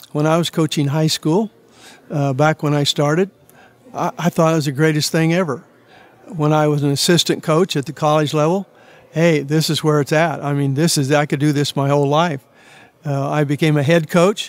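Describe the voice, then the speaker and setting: A fairly high-pitched man with a Midwestern US accent talks at a moderate pace, his intonation fairly even and his loudness very even, in a dry, close sound with no echo. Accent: US Midwest. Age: 80s+. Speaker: retired basketball coach. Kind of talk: interview. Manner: hesitant with many fillers.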